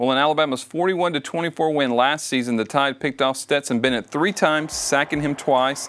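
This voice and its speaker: In a plain, everyday voice, the speaker goes at a moderate pace with hardly any pauses, very even loudness and ordinary pitch variation. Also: man, fairly high pitch for a man. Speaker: sports reporter. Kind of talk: sports preview interview. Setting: studio. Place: studio. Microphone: lapel.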